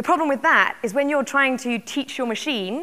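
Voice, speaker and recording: A woman with a British accent talks at a very fast pace. Her tone is bright and sharp. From UK. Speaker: tech company executive. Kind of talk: keynote talk. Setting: conference stage with audience.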